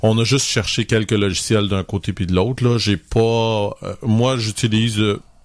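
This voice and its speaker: A man speaks in a plain, everyday voice at a fairly low pitch and fairly slow pace. His intonation is fairly even, on a very clean recording with a silent background. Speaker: photography podcast co-host. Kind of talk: casual chat.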